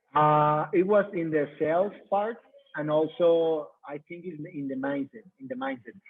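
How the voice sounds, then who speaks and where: A man with a Mexican accent, fairly high in pitch, at a fairly slow pace, with ordinary pitch variation and big swings in loudness. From Mexico. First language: Spanish. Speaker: coach. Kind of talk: testimony. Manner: halting.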